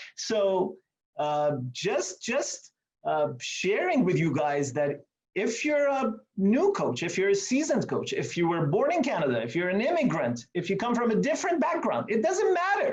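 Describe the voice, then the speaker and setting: A man speaks with an Iranian accent at a high pitch, his pitch swinging very widely. His loudness stays very even at a moderate pace. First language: Farsi. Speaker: meeting host, coach. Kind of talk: presentation to online meeting. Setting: video call from office. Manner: animated.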